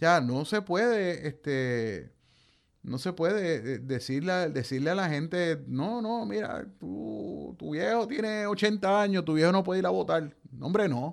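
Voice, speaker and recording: A man's very slow voice with very wide pitch swings over a quiet background. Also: fairly high pitch for a man. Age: 50s. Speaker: radio host and journalist. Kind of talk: radio talk show commentary.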